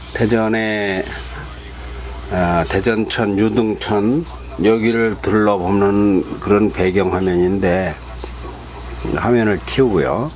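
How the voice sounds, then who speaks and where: A man's fairly low voice at a very slow pace, with ordinary pitch variation, very even loudness, long, frequent pauses and music in the background. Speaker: author reading his own book. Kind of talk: casual talk to camera.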